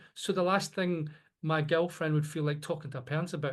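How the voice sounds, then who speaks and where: Fairly quick speech in a Glasgow accent over a quiet background. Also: man. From Scotland, Glasgow. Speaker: podcast co-host. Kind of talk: casual conversation. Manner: halting, repeats words.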